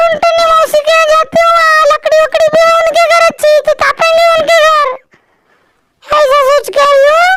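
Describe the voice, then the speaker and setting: A cartoonish character voice from a female-sounding speaker, pitched extremely high. It moves at a moderate pace with very wide pitch swings. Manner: chatty, homely.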